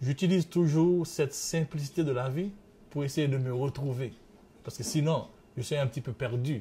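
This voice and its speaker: Somewhat breathy, a man speaks at a fairly quick pace and fairly high pitch, with a dark, mellow tone and ordinary pitch variation. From Haiti. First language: French. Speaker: interviewee, father. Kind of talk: interview testimony. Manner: halting in English.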